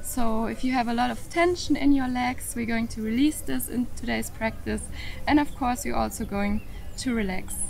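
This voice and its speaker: A woman at a moderate pace with clear music behind her. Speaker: yoga instructor. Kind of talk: tutorial. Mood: calm, friendly. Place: open country.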